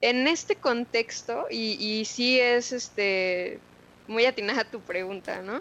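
A woman speaks at a very slow pace. Her pitch is fairly high and varies in an ordinary way. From Mexico City. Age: 20s. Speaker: tech community leader. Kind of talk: interview.

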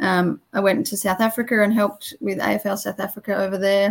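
The woman sounds somewhat breathy. Her intonation stays fairly even. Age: 20s. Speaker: former football umpire. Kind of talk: interview.

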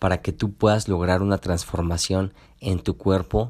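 Very clean recording with a silent background, featuring a man pitched fairly low. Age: 20s. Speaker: podcast host and nutritionist. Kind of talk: motivational solo podcast talk. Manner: halting with frequent repetitions and fillers.

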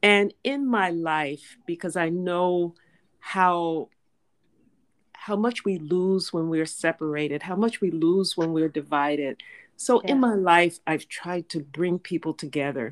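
In a very clean recording with a silent background, a woman with an unremarkable speaking voice talks at a fairly slow pace and fairly low pitch, with ordinary pitch variation. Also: dry, close sound with no echo. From Tallahassee, Florida. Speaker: attorney and activist. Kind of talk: interview conversation. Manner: formal.

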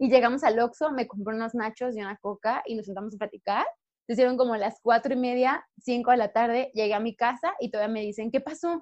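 A woman with a Mexican accent talks at a fairly quick pace in a fairly high voice with ordinary pitch variation, recorded dry and close with no echo. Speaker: podcast co-host. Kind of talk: casual chat. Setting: video call.

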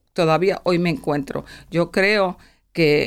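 In a very clean recording with a silent background, a woman's very deep, low voice carries vocal fry and ordinary pitch variation. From Puerto Rico, raised in Pennsylvania from age seven. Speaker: nonprofit finance executive. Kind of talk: interview testimony. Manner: halting, with repetitions.

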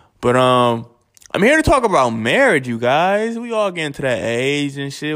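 On a very clean recording with a silent background, a man in an animated tone speaks at a moderate pace and medium pitch. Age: 20s. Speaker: podcast host. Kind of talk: casual monologue.

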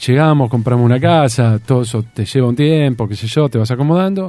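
A man with a Rioplatense accent speaks at a moderate pace, his medium pitch moving with ordinary variation. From Argentina, Tandil. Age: 50s. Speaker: radio broadcaster. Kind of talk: interview conversation. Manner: halting, with repetitions.

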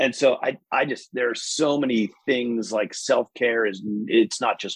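An ordinary speaking voice, a man with an American accent and medium pitch talks at a fairly slow pace, the sound dry and close with no echo. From New York state, US. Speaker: business executive guest. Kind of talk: casual interview conversation. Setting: video call.

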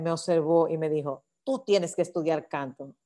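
A woman's fairly low, dark, mellow voice at a fairly slow pace against a quiet background. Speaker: singing teacher and choir director. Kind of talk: interview.

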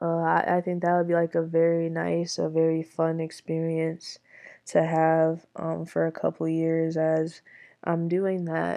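Against a quiet background, a woman with an American accent speaks at a fairly slow pace in a fairly low voice with a dark, mellow tone. Her intonation is monotone and flat. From Michigan. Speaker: student podcaster. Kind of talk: solo podcast monologue. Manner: hesitant, many fillers.

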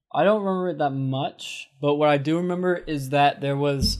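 A man's fairly high voice with music in the background. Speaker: podcast co-host. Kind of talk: casual chat.

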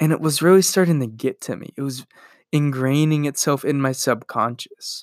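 The voice keeps a fairly even intonation but swings widely in loudness at a moderate pace, in a dry, close, very clean recording with no echo and a silent background. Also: man, fairly high pitch for a man. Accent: American. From US Midwest (Iowa). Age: 20s. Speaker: podcast host. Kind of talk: solo podcast monologue. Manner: casual.

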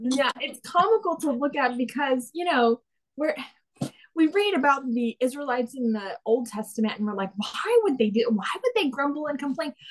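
A woman speaks at a moderate pace with an American accent. Her pitch is high and her intonation lively. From Texas. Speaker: guest sharing faith testimony. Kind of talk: testimony.

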